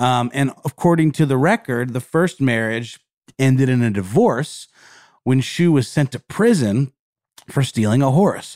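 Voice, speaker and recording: On a very clean recording with a silent background, a man with a normal speaking voice talks at a fairly slow pace, keeping a medium pitch with ordinary variation. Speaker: podcast co-host. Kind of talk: casual chat, podcast. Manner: conversational, filler words.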